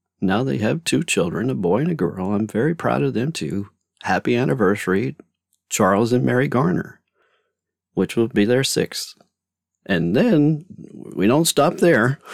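In a very clean recording with a silent background, a man with vocal fry and a fairly low pitch speaks at a moderate pace, with very wide pitch swings and long, frequent pauses. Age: 50s. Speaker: podcast host and author. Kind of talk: casual monologue. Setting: home closet studio.

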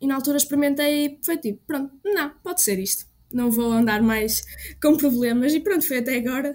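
A woman talks at a fairly quick pace. Her voice is high in pitch. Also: ordinary pitch variation. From Portugal, Trás-os-Montes. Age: 20s. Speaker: music student and composer. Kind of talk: testimony.

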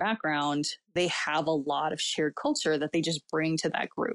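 A woman with an American accent speaks in a normal speaking voice, fairly low-pitched, at a moderate pace with ordinary pitch variation, recorded very cleanly against a silent background with a dry, close sound and no echo. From Southern California. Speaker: missionary. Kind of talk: casual chat.

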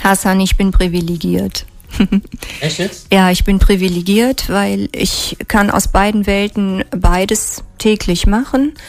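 Amid noticeable background noise, this woman's speech unfolds at a very slow pace. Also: medium pitch for a woman, ordinary pitch variation. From Germany, near Trier (Rhineland-Palatinate). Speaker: physician. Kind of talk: radio interview. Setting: radio studio.

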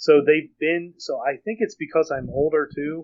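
A man with a plain, everyday voice speaks at a fairly slow pace. His pitch is fairly high. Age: 40s. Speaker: fan fiction author. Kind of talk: casual chat.

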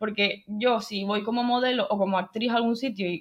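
With a plain, everyday voice, a woman speaks at a moderate pace and a fairly high pitch. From Canary Islands (Tenerife). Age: 20s. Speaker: film and acting student, video editor. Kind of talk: interview.

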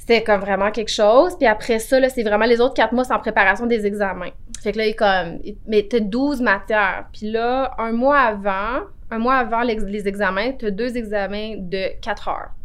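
She has an unremarkable speaking voice, pitched fairly high, with ordinary pitch variation. Her tempo is moderate. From Quebec, Outaouais (Cantley). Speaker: notary. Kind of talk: interview.

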